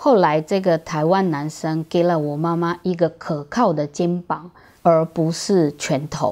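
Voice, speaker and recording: With a dark, mellow tone, a woman speaks at a fairly slow pace and fairly low pitch, her intonation fairly even over a quiet background. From Brazil, moved to Taiwan at 11. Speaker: video creator telling her life story. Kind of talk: scripted narration. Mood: warm, reflective, lightly humorous. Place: home room.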